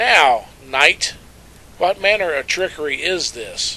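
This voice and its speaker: A man's put-on character voice, high in pitch, at a fairly slow pace. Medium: read story. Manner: haughty, condescending.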